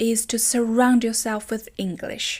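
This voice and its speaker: On a very clean recording with a silent background, a woman with a non-native accent speaks at a fairly slow pace in a high pitch. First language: not English. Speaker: language teacher. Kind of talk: tutorial.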